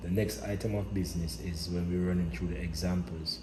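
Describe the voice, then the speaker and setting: A man's very deep, low voice with vocal fry and a dark, mellow tone, at a fairly slow pace. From Jamaica. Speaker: linguistics educator. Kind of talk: educational lecture.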